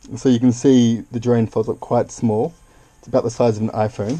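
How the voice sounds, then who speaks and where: This man has a slight Australian accent and a dark, mellow tone at a medium pitch. His intonation stays fairly even. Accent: Australian, subtle. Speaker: YouTuber. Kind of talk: unboxing video. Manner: casual, playful; hesitant.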